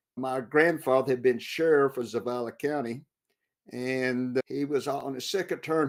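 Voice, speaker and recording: A medium-pitched man with a West Texas accent, fairly even intonation, and a moderate pace on a very clean, silent recording. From West Texas, Big Bend. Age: 60s. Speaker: war veteran and author. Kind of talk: interview.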